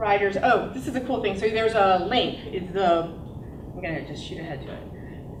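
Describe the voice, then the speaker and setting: Female speech at a moderate tempo, ordinary in pitch movement, with clear room echo amid noticeable background noise. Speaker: entrepreneur. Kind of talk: business pitch presentation.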